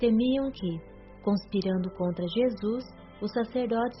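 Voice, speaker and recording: Music plays in the background as a woman talks at a fairly slow pace. Her intonation stays fairly even. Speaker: audiobook narrator. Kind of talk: religious audiobook narration.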